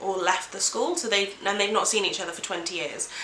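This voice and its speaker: There is noticeable background noise behind a woman whose pitch varies in an ordinary way. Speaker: book reviewer. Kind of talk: casual talk to camera.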